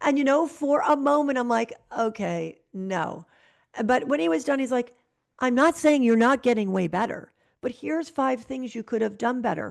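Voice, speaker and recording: A woman's plain, everyday voice with an American accent, lively intonation and a moderate pace, over a quiet background. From Connecticut, US. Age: 60s. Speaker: real estate broker and ballroom dancer. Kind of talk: interview conversation.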